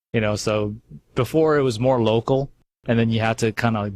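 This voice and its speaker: A man's medium-pitched voice with a Californian accent, at a fairly quick pace, dry and close with no echo. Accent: California. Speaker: radio host. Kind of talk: casual chat.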